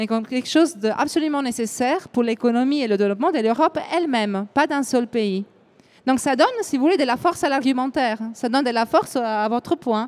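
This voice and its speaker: A woman speaks with an Italian accent at a high pitch. Her pace is fairly quick. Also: ordinary pitch variation. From Italy. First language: Italian (speaking French). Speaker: EU affairs event organizer. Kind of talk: panel discussion. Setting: live broadcast round table. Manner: hesitant, with fillers.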